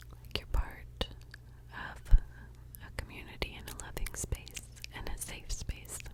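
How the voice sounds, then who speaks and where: A woman whispers in a soothing tone at a very slow pace, with big swings in loudness. Noticeable background noise sits behind her. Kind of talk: ASMR whisper ramble, intimate talk to camera. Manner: whispered, slow, soothing.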